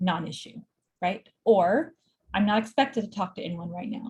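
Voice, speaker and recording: A woman speaks at a fairly quick pace with a medium pitch. Her voice is somewhat breathy. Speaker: clinical social worker. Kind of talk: lecture.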